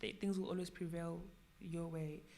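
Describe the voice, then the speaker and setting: A woman's voice is somewhat breathy. Her intonation is monotone and flat. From South Africa, Tembisa township in Johannesburg. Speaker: content creator. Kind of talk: casual interview chat.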